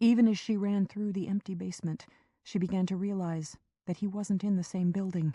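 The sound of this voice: An unforced reading voice with fairly even intonation over a quiet background.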